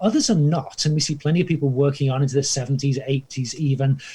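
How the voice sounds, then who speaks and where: Somewhat breathy with a dark, mellow tone, a man speaks at a very fast pace in a fairly high pitch. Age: 60s. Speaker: historian and professor. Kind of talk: interview dialogue. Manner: hesitant, many fillers.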